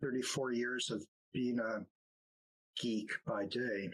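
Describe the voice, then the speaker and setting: A man talks very slowly at a medium pitch. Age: 60s. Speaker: software developer and Broadway actor. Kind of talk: casual interview. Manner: halting.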